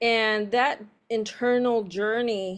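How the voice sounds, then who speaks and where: In a very clean recording with a silent background, a woman speaks at a fairly high pitch with a Spanish accent. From San Diego, California, Mexican-American family. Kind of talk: interview testimony. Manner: halting, translating while speaking.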